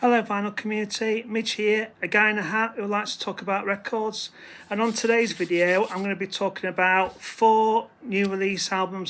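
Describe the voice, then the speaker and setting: A man with a British accent and a high pitch talks at a moderate pace in a flat monotone, with hardly any pauses. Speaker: record collector vlogger. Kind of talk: casual talk to camera. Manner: halting, many fillers; self-deprecating, hesitant.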